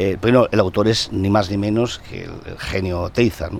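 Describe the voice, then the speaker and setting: Heard over noticeable background noise, a man with a fairly low pitch talks with ordinary pitch variation. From Basque Country, Eibar (Gipuzkoa). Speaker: journalist and former TV presenter. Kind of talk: casual chat. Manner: halting.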